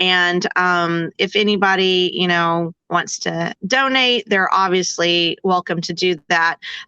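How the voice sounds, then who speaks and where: A woman's medium-pitched, bright, sharp voice at a very slow pace with fairly even intonation, a dry, close sound with no echo and a quiet background. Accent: Texan. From Texas, El Campo. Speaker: daughter of a war hero, podcast guest. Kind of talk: interview conversation.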